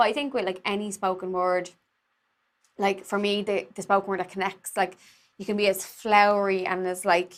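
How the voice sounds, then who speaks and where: A woman speaks at medium pitch. Her intonation is monotone and flat. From Ireland, inner city Dublin (East Wall). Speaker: actor and spoken word writer. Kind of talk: casual chat. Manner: fast, many fillers like 'like'.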